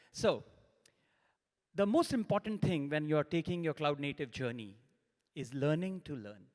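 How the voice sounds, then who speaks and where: A man with a fairly high pitch speaks at a moderate pace with lively intonation, recorded very cleanly against a silent background. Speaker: solution engineer, conference speaker. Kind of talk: conference talk. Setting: stage with audience. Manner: loud.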